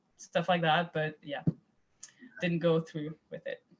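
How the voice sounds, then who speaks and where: A woman with a Quebec accent and a monotone, flat intonation. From Quebec, Montreal area. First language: French. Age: 20s. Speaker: private chef. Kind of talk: interview. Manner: halting, many repetitions and fillers.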